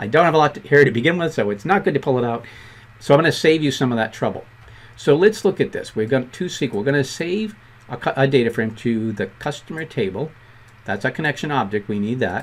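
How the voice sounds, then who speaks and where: A man with a Boston accent talks very fast at medium pitch, his pitch swinging very widely. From Boston, US. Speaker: programming instructor. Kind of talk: tutorial.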